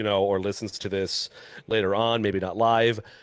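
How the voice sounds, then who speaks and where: In a very clean recording with a silent background, a man with a fairly low pitch talks at a moderate pace in an ordinary speaking voice. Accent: American. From Wisconsin. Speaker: podcast co-host. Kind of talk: casual chat.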